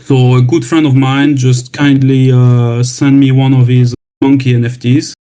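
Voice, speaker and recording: The man's voice sits at medium pitch with a dark, mellow tone. He talks with a French accent. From France. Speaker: new community member. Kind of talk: self-introduction. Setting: online voice chat room. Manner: hesitant, repeating words. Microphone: new laptop.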